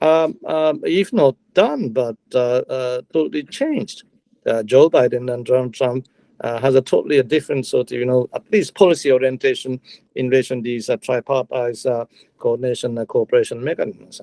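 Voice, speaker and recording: With a Japanese accent, a man talks at a fairly quick pace in a dry, close sound with no echo. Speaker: retired diplomat. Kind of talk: panel talk. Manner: halting, many fillers.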